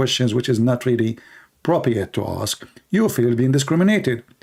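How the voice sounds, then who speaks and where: Against a silent background in a very clean recording, a man with a non-native accent talks fairly quickly at a medium pitch with lively intonation. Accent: foreign. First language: not English. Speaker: religious debate streamer. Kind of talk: live stream debate with chat. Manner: animated.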